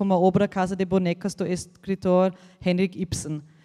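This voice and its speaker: A woman with an Austrian accent has a medium-pitched voice and a dark, mellow tone, captured with a dry, close sound, no echo and a very clean, silent background. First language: German (speaking Portuguese). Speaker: embassy representative. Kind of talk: opening speech. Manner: halting, many hesitations.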